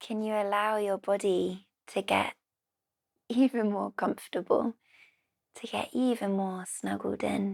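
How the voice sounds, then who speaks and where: With a British accent, a woman reads at a fairly slow pace and medium pitch with fairly even intonation and long, frequent pauses, recorded dry and close with no echo. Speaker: yoga teacher. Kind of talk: guided relaxation.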